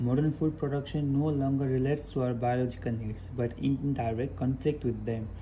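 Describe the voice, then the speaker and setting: Somewhat breathy and dark and mellow in tone, a man at medium pitch talks at a fairly quick pace with fairly even intonation amid audible room echo. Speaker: english test candidate streaming practice. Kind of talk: reading aloud practice mixed with casual talk. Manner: repetitive, self-correcting.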